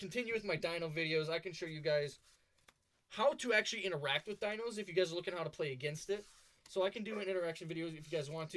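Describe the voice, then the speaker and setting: Talking at a very fast pace, a man uses a high pitch with ordinary pitch variation. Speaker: gaming YouTuber. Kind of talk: tutorial.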